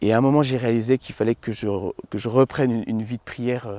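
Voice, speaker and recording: A man's dark, mellow tone, monotone and flat, at a fairly quick pace with a dry sound and no echo. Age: 20s. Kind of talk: testimony. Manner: halting, many repetitions and fillers. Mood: reflective, earnest. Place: garden. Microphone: lapel.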